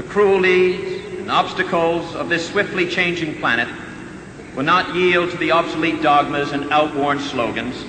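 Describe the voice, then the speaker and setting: Over noticeable background noise, a man with an American accent speaks at a high pitch and a moderate pace with fairly even intonation. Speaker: senator delivering a funeral eulogy for his brother. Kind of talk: solemn eulogy / formal public address.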